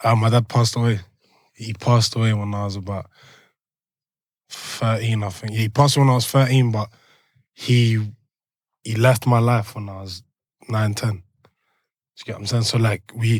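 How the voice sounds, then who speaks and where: With a London accent, a man of medium pitch speaks at a moderate pace in a monotone, flat intonation, with long, frequent pauses and big swings in loudness, on a very clean recording with a silent background. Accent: London multicultural English. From Belgium, Brussels, moved to London at eleven. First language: French. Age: 20s. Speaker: rap artist. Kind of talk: podcast interview. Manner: casual, halting with many fillers.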